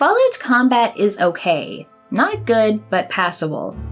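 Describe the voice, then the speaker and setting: A woman's medium-pitched voice with music in the background. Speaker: video game commentator. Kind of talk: game review voice-over.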